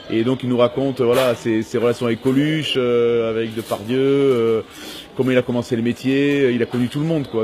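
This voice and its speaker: A man talks at a medium pitch and a fairly quick pace. Noticeable background noise is present. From Toulon, southern France. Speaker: comedian and actor. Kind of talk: interview. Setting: train station. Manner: hesitant, many fillers.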